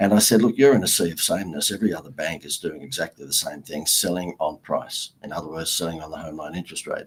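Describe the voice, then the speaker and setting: A man with an Australian accent talks very fast, hardly pausing at all. His loudness swings widely. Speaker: marketing consultant and author. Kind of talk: interview.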